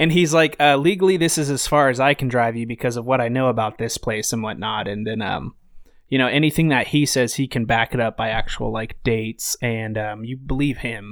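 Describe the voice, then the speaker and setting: A man with an American accent talks at a fairly quick pace in a medium pitch with ordinary pitch variation, in an unremarkable speaking voice. The recording is very clean, with a silent background. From Idaho, US. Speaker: podcast guest. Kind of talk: casual chat.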